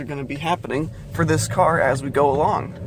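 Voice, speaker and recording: A man's medium-pitched voice, with fairly even intonation, comes through noticeable background noise. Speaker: car vlogger. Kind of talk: casual vlog narration. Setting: in a car.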